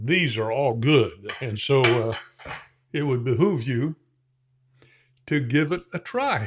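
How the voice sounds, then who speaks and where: A man with a medium pitch speaks very slowly in an American accent, somewhat breathy, with ordinary pitch variation. The recording is very clean, and the background is silent. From Indiana, US Midwest. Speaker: shaving product reviewer. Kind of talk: casual product review tutorial. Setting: home shave room. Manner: relaxed, with frequent fillers.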